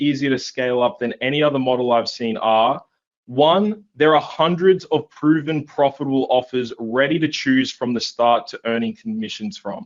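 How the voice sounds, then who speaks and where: The voice belongs to a man and sits at a fairly high pitch. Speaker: online marketing coach. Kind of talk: webinar sales pitch. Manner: fast; enthusiastic.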